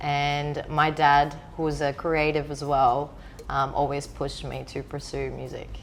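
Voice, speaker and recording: A woman's voice with big swings in loudness and audible echo from the room. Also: fairly slow pace. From Greece, small island. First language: Greek. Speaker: DJ. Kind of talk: interview.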